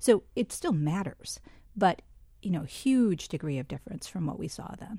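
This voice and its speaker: A woman speaks at a medium pitch in a somewhat breathy voice, with very wide pitch swings and big swings in loudness. Her pace is moderate. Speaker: public health official and physician. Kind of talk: interview. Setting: studio.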